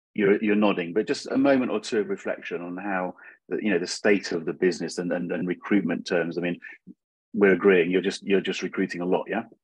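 A man's very deep, low voice at a fairly quick pace, with fairly even intonation, a dry sound with no echo, and a quiet background. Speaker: interviewer. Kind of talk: casual interview. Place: home room. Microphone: video call.

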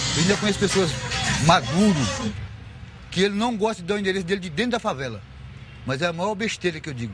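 A man's high-pitched voice at a very fast pace, dry with no echo, over noticeable background noise. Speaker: community association president. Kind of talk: interview. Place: street.

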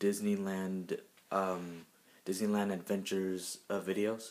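A man talks quietly at a fairly slow pace. His pitch is fairly low. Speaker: YouTuber; vlogger. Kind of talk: casual vlog. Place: home room. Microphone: phone near.

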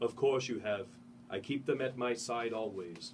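A man's put-on character voice, resonant and medium in pitch, with ordinary pitch variation, a moderate pace and clear background noise. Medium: read story.

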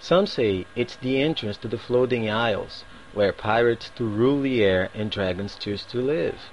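A man with a strong Brazilian accent, medium pitch and ordinary pitch variation, at a moderate pace over light background noise. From Northeast Brazil. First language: Portuguese. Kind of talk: reading a set passage aloud. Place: home room. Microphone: webcam.

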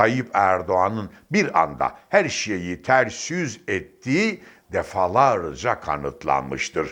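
Vocal fry runs through this very slow delivery, which has very wide pitch swings. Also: man, fairly low pitch for a man, quiet background. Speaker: political commentator. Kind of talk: political commentary monologue. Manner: emphatic.

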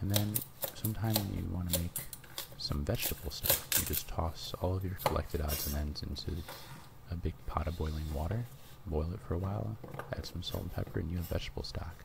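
A man with a very deep, low pitch and ordinary pitch variation, fairly quick yet with long, frequent pauses, over loud background noise. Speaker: ASMR cooking channel host. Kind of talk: cooking tutorial narration. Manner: softly spoken, whispery. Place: kitchen.

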